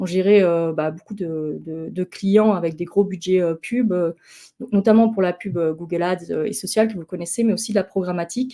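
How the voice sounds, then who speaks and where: At a moderate pace, a woman with a dark, mellow tone shows ordinary pitch variation and big swings in loudness. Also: medium pitch for a woman. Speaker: marketing consultant giving a conference talk. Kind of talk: online conference talk. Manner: hesitant, many fillers.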